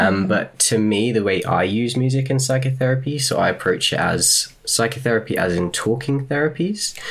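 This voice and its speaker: Amid noticeable background noise, a man at medium pitch keeps a moderate pace with hardly any pauses, lively intonation and very even loudness. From England. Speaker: psychotherapy student and musician. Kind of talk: interview.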